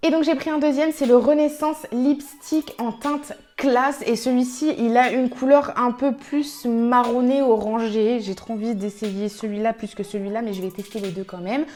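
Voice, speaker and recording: Her loudness swinging widely, a woman with a high pitch speaks over noticeable background noise. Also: ordinary pitch variation, moderate pace, hardly any pauses. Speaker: beauty youtuber. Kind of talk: makeup tutorial. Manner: animated.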